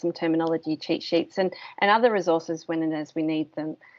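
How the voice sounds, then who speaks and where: A woman with an Australian accent, fairly low-pitched, fairly even intonation, moderate pace. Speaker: course instructor. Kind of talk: online course presentation. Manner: hesitant, many ums.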